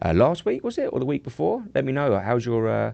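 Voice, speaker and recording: A man speaks with a dark, mellow tone. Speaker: live trading show host. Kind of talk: live stream chat. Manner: casual, hesitant with many fillers.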